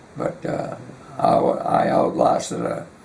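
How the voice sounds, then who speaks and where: A man speaks over noticeable background noise. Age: 90s. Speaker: war veteran. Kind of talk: oral history interview. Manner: halting.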